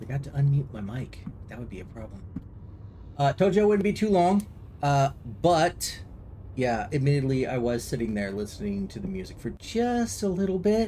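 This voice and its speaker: Soft-spoken and somewhat breathy, a man with a fairly high pitch and a dark, mellow tone talks at a moderate pace with very wide pitch swings, big swings in loudness and long, frequent pauses. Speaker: video game streamer. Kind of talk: casual live-stream chat. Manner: halting.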